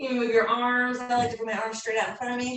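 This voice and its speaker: A woman speaks in a high pitch. Audible room echo surrounds her voice. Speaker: fitness instructor. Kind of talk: live workout class instruction. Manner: breathy exertion while exercising.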